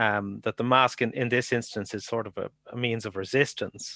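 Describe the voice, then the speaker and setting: A man with an Irish accent, medium pitch and moderate pace, in a dry, close sound with no echo against a quiet background. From Ireland. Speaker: academic researcher. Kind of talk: conference Q&A. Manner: halting.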